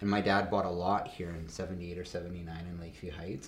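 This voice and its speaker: With a Canadian accent, a man talks fairly quickly in a somewhat breathy voice, with audible room echo. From Canada, Calgary. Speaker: business founder. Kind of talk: casual interview. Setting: studio.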